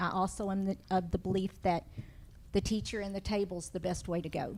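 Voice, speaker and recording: With vocal fry, a woman speaks at a medium pitch in a monotone, flat intonation. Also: fairly quick pace. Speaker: school principal. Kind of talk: board meeting report. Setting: school board meeting.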